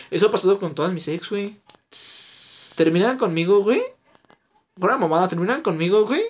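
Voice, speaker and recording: A man with a high pitch and ordinary pitch variation, talking at a fairly quick pace broken by long, frequent pauses. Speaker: podcast co-host. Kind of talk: casual chat.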